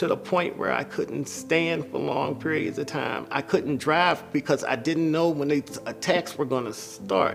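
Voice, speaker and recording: Music plays in the background behind a man. His fairly high voice has lively intonation. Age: 60s. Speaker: patient. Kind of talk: testimony.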